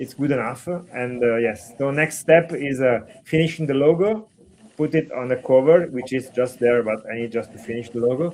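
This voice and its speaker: Speaking with an Italian accent, a man holds a medium pitch. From Italy. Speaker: comic book artist. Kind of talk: casual chat. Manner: halting.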